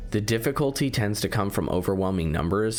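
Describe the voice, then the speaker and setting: A man speaks at a fairly quick pace in a fairly low pitch, with noticeable background noise. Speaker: video game critic. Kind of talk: video essay narration.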